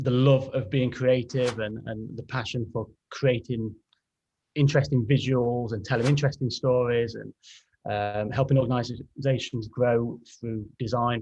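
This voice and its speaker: With an English accent, a man speaks at a moderate pace and medium pitch, in a monotone, flat intonation. His tone is dark and mellow, and somewhat breathy. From England, Derby (East Midlands). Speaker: graphic designer. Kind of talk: podcast interview.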